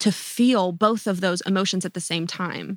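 In an American accent, a woman talks at a moderate pace with a medium pitch, a bright, sharp tone and fairly even intonation. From North Carolina. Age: 20s. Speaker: pop singer-songwriter. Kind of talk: interview conversation.

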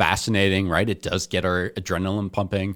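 In a very clean recording with a silent background, a man with an American accent talks at a moderate pace in an unremarkable speaking voice. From New Jersey. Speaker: seminarian. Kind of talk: casual chat.

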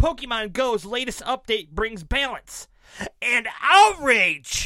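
A put-on character voice, raised and projected, runs at a fairly high pitch and a fairly slow pace. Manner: over-the-top announcer delivery.

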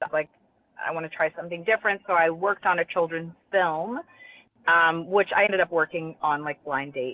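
The speaker is a woman with a plain, everyday voice. Her fairly low pitch has ordinary variation, and her pace is fairly quick. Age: 40s. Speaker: children's bookstore owner and author. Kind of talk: interview.

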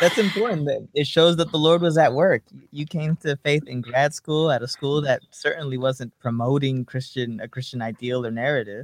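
A man speaks in a plain, everyday voice at a moderate pace. His pitch sits fairly high, with ordinary variation. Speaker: podcast host. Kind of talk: interview. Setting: video call.

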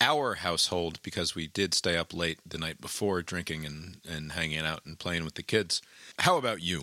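A loud man speaks in a bright, sharp tone, the sound dry and close with no echo on a very clean recording with a silent background. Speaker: podcast host. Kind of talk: casual, rambling, jokey. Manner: loud, talks a lot.

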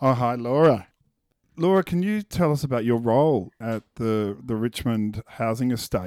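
Recorded very cleanly with a silent background and a dry, close sound with no echo, a man speaks with an Australian accent. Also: medium pitch for a man, lively intonation, moderate pace. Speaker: podcast host. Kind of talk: interview.

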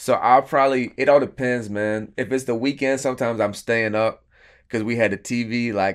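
A man with an American accent and an ordinary speaking voice, medium pitch, moderate pace and fairly even intonation, in a very clean recording with a silent background. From Florida, US South. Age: 30s. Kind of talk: casual interview testimony.

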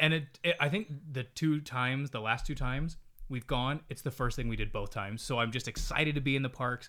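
A fairly quick pace and ordinary pitch variation in an ordinary speaking voice. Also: man, medium pitch for a man. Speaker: podcast co-host. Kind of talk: casual chat. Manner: playful.

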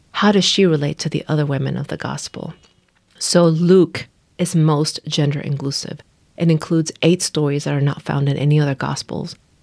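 A woman's very deep, low-pitched voice, monotone and flat, at a moderate pace. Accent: Spanish. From Nicaragua. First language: Spanish. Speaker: pastor. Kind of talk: casual chat.

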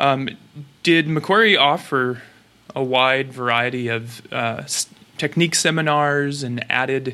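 This voice has a bright, sharp tone and an American accent. The intonation stays fairly even. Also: man. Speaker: podcast host; chiropractic student. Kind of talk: interview.

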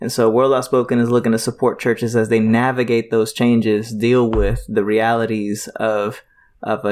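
A man with an ordinary speaking voice talks at a moderate pace and medium pitch, his intonation fairly even, in a very clean recording with a silent background. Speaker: nonprofit president and ministry trainer. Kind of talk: casual chat.

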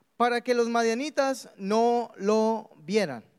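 The man's voice is high-pitched. He speaks at a very slow pace. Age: 20s. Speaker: pastor. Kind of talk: sermon. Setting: church.

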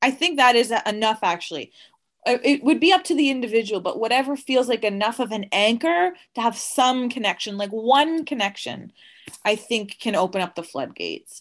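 A normal speaking voice from a woman, fairly high in pitch, with lively intonation at a fairly quick pace against a quiet background. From Nova Scotia, Canada. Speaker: guest sharing personal story. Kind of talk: interview. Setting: remote call.

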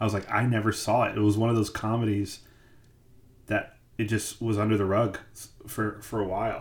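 A man with an American accent, fairly low-pitched and somewhat breathy, in a flat monotone at a fairly quick pace, with very even loudness and long, frequent pauses. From US Midwest. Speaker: podcast host. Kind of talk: casual chat. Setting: live stream.

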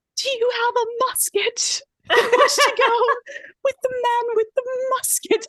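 Putting on a character voice in a Southern US accent, a woman speaks at an extremely high pitch, breathy and fairly slow with fairly even intonation, in a dry, close sound with no echo. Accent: southern belle. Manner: faint, dramatic.

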